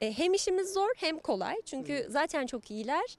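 Her pitch sits high as this woman's voice swings very widely up and down. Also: dry sound with no echo. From Turkey, Ankara. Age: 30s. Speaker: actress and voice dubbing artist; actress. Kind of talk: interview. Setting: outdoors in the sun. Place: garden. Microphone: handheld.

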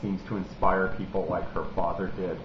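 A man talks with an American accent. Audible room echo and light background noise come through. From Pittsburgh, Pennsylvania. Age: 40s. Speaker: political activist vlogger; video blogger. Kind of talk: video blog monologue; casual vlog political commentary. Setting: at home in his apartment. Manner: hesitant, many fillers. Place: home room. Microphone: webcam.

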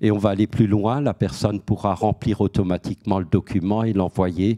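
Over a quiet background, a man speaks fairly slowly in a dark, mellow tone with a fairly low pitch. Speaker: head of a debt-counselling association, panelist; guest. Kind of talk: panel talk; panel discussion answer. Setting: auditorium with audience. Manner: hesitant, many repeated words. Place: hall. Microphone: handheld.

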